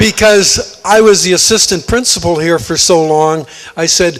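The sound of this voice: A man speaks high-pitched with a fairly bright tone. His pace is moderate and his pitch varies in an ordinary way.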